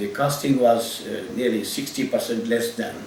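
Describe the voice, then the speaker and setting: A man talks fairly slowly while noticeable background noise carries on. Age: 70s. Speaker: general medical practitioner. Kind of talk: patient testimonial. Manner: hesitant, halting.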